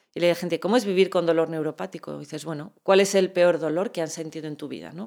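This woman has an ordinary speaking voice, fairly low in pitch, with ordinary pitch variation. The recording is very clean, with a silent background. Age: 40s. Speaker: chronic pain patient and medical cannabis advocate. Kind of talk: interview.

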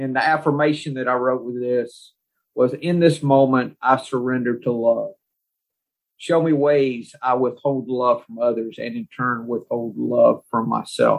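A man talks at a fairly slow pace in a normal speaking voice. His pitch sits in the medium range, with fairly even intonation. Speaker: podcast host. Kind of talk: group discussion of recovery and Taoist text.

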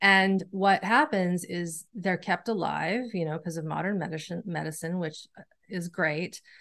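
Against a quiet background, a woman with a normal speaking voice talks at a fairly slow pace and a fairly low pitch, with ordinary pitch variation and hardly any pauses. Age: 40s. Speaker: nervous system educator and somatic practitioner. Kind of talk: interview conversation.

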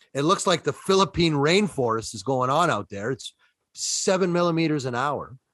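In a Toronto accent, a man speaks at a fairly high pitch and a moderate pace, with lively intonation. The sound is dry and close, with no echo. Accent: Toronto Canadian. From Toronto, Canada. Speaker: co-host, sports picks. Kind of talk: casual sports banter.

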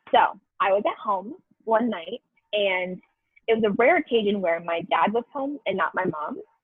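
A woman's fairly high voice with lively intonation at a moderate pace, music playing in the background. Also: long, frequent pauses. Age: 20s. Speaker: retail store manager. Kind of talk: casual storytelling chat.

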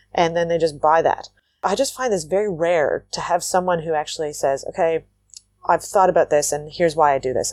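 A woman with a Canadian accent and an unremarkable speaking voice talks at a fairly quick pace in a fairly low pitch with ordinary pitch variation, the sound dry and close with no echo. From Canada, Waterloo, Ontario. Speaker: entrepreneur. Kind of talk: interview conversation.

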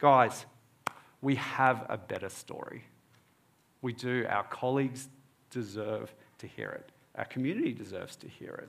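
Medium in pitch, a man talks at a moderate pace with an Australian accent. His pitch varies in an ordinary way. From Australia (born in Egypt, moved at four). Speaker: preacher and dentist. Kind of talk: sermon.

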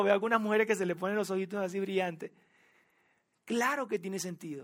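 A man talks at a high pitch. His intonation stays fairly even. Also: very clean recording, silent background. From Venezuela. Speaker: pastor. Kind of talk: sermon. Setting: church with audience. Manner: nervous, warm.

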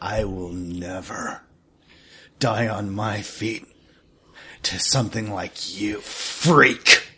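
A man speaks in a put-on character voice, fairly low in pitch for a man. His pace is very slow, with long, frequent pauses. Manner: defiant, bitter, menacing.

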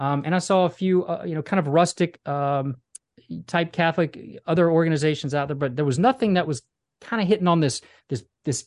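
In a dry, close sound with no echo, a man with a plain, everyday voice speaks at a fairly high pitch with ordinary pitch variation. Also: quiet background. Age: 40s. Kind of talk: interview.

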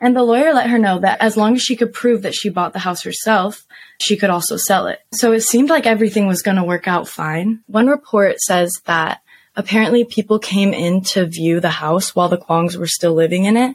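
A woman with a normal speaking voice, medium in pitch, with ordinary pitch variation and a fairly quick pace. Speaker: podcast host. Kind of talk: casual banter true crime storytelling.

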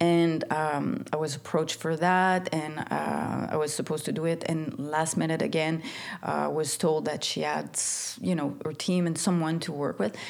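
With a Quebec accent, a woman speaks in a very deep, low pitch with ordinary pitch variation. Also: moderate pace. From Quebec, Montreal. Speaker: stylist and creative director. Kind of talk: interview. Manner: halting, many fillers and repeats.

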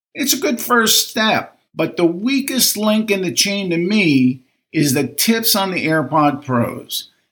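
Hardly pausing, a man talks at a very slow pace, his high pitch making very wide swings. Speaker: listener reviewer. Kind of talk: recorded listener review.

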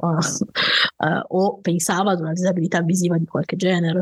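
A woman's somewhat breathy, medium-pitched voice at a moderate pace, with a dry, close sound and no echo. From Piedmont, Italy (valley near Turin). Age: 30s. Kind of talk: interview storytelling.

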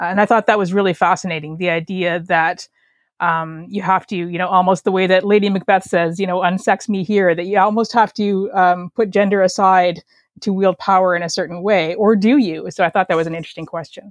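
With a Canadian accent and an unremarkable speaking voice, a woman speaks at a medium pitch with fairly even intonation against a quiet background. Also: fairly quick pace. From Canada. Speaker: novelist. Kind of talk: casual interview chat.

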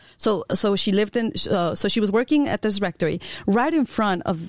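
A woman's medium-pitched voice with lively intonation at a fairly quick pace, dry and close with no echo, on a very clean recording with a silent background. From Chicago, US Midwest. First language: Spanish. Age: 20s. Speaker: consultant. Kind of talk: casual chat. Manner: halting.

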